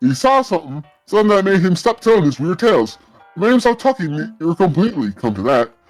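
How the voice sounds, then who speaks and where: Over faint music in the background, a man uses a put-on character voice with very wide pitch swings at a fairly quick pace. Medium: game stream. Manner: folksy, rambling.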